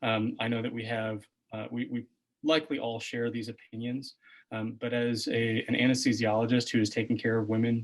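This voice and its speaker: A man talks fairly quickly at medium pitch. His intonation stays monotone and flat. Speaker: political candidate, physician. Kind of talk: candidate forum answer. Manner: soft-spoken; halting.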